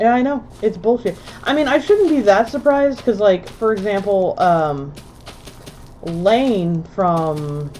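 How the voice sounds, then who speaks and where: A woman speaks in an animated tone, her pitch swinging very widely. Noticeable background noise sits behind her. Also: fairly slow pace. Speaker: gaming streamer. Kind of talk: live gameplay stream chat.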